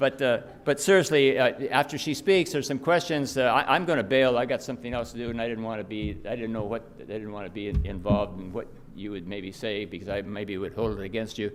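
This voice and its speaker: A man with a medium-pitched voice talks at a very fast pace. His intonation is lively, and music plays in the background. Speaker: business leader. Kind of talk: speech introduction. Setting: luncheon with audience. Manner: halting.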